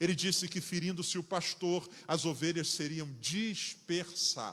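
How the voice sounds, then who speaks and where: Speaking with a Rio de Janeiro accent, a man talks at a fairly slow pace. His pitch is high for a man, and his intonation is fairly even. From Rio de Janeiro, Brazil. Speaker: pastor. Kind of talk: sermon.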